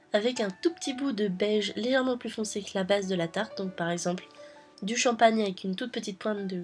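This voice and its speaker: Music in the background beneath a woman's moderately paced speech, her pitch medium and her pitch variation ordinary. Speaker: polymer clay miniature artist. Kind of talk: craft tutorial voice-over. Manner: upbeat, casual.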